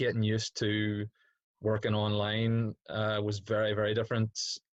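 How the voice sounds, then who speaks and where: Over a quiet background, a man with a Northern Irish accent speaks at a moderate pace. His fairly low voice is flat and monotone, and it sounds dry and close with no echo. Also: long, frequent pauses, very even loudness. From Northern Ireland, Derry. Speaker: PE teacher. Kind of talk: casual chat. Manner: hesitant, many fillers.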